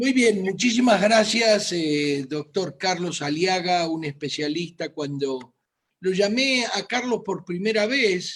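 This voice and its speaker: Speaking in a Rioplatense accent, a man with a high pitch talks very slowly with lively intonation. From Argentina, Buenos Aires. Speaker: physician. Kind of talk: medical presentation.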